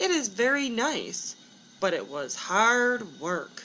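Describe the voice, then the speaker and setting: A woman uses a put-on character voice with a fairly high pitch, speaking at a very slow pace. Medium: read story.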